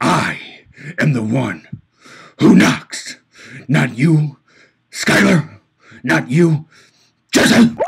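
Doing a put-on character voice at a fairly high pitch, a man speaks at a very slow pace with long, frequent pauses. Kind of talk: comic impression. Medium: voice reel. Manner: menacing, pompous.

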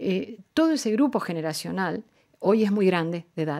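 A woman speaks fairly slowly against a quiet background. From Argentina. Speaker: diplomat; guest. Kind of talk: radio interview. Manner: formal. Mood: calm, earnest, measured. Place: studio. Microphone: studio mic.

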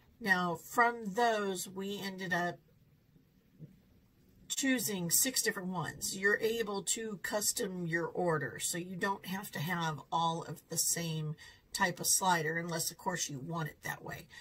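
Speaking fairly slowly, a woman shows ordinary pitch variation and big swings in loudness. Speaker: food reviewer vlogger. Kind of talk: casual restaurant review vlog. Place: home room.

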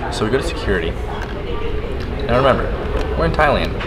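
Loud background noise beneath a man's voice. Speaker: travel vlogger. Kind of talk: casual vlog chat. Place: hall. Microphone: phone near.

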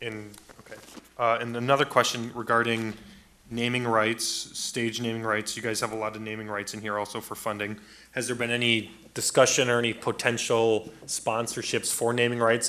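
A man with a bright, sharp tone and medium pitch speaks at a moderate pace in a monotone, flat intonation. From US Midwest. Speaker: city council member; council member. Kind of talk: council deliberation. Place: hall. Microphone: podium.

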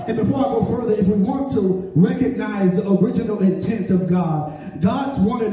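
A high-pitched man at a moderate pace, animated in tone with ordinary pitch variation, in strong room echo over light background noise. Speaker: preacher. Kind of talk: sermon with call-and-response. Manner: animated, urgent, exhorting the listeners; repetitive, rhythmic preaching cadence. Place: church.

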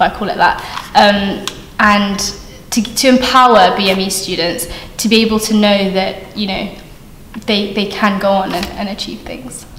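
Fairly even intonation comes through audible room echo, with light background noise underneath. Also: woman. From Australia. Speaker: university student. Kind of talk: vox pop interview. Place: hall.

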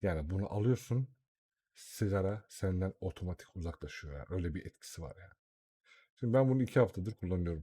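The delivery is animated and somewhat breathy, at a fairly quick pace with big swings in loudness. The recording is very clean, with a silent background. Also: man, very deep, low pitch for a man, ordinary pitch variation, dry, close sound with no echo. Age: 30s. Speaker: YouTuber. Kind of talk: tutorial. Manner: casual and animated.

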